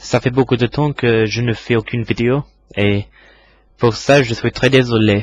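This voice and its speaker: A man at medium pitch speaks at a fairly slow pace with fairly even intonation. The sound is dry and close with no echo. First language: English (speaking French). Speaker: English teacher. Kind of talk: tutorial. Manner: halting.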